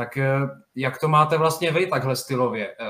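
Talking at a fairly quick pace, a man has an unremarkable speaking voice at medium pitch with fairly even intonation. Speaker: podcast host. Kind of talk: casual interview.

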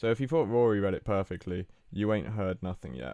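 At a fairly quick pace, the voice carries a dark, mellow tone with very wide pitch swings. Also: man. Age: 20s. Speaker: podcast co-host. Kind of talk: casual chat.

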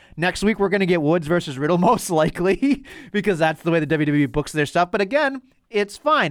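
A man with a high-pitched voice and a slight Boston accent, lively intonation, and a very clean recording over a silent background. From Boston North Shore, US. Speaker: wrestling podcast host. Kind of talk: casual chat.

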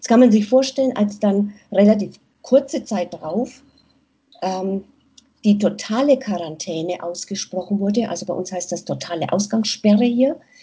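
The speech moves at a fairly slow pace with ordinary pitch variation. The voice is somewhat breathy. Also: woman, big swings in loudness. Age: 50s. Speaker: nurse and aid worker. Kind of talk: interview. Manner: hesitant, many fillers.

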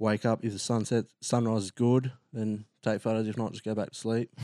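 A man with an Australian accent, fairly low in pitch, dark and mellow in tone, monotone and flat at a moderate pace, recorded dry and close with no echo against a quiet background. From Australia, New South Wales south coast. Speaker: photographer and videographer, ex-navy. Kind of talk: casual interview chat. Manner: hesitant, many fillers.

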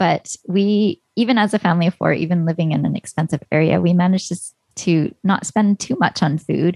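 With a Canadian accent and a normal speaking voice, a woman talks at a fairly quick pace with hardly any pauses, her pitch fairly low with ordinary variation and her loudness very even, in a dry, close sound with no echo. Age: 40s. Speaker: personal finance blogger and podcaster. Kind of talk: interview.

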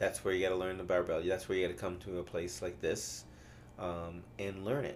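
A man's very deep, low voice with vocal fry, ordinary pitch variation and a fairly quick pace, plus audible room echo. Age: 50s. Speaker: CrossFit coach. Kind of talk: casual chat. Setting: studio. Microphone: new mic, close to it.

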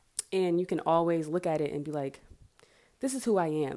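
A woman speaks at a moderate pace with an American accent, her pitch very deep and low and her tone dark and mellow. Her pitch varies in an ordinary way, and the recording is very clean with a silent background. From US South, Marietta near Atlanta, Georgia. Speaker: podcast host, aspiring life coach. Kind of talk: casual solo monologue; guided reflection activity. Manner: casual, with fillers and laughs.

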